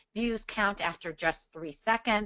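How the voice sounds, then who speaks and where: An unremarkable speaking voice from a woman, fairly high in pitch, with ordinary pitch variation. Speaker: social media marketing expert. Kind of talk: webinar Q&A. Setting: joining by phone on a webinar. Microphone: phone audio only, no video.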